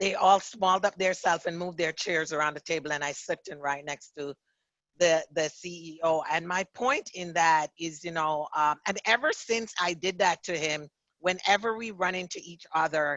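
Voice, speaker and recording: At a moderate pace, a woman with a fairly low pitch speaks with ordinary pitch variation and big swings in loudness. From Jamaica. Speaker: author and diversity consultant. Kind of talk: interview.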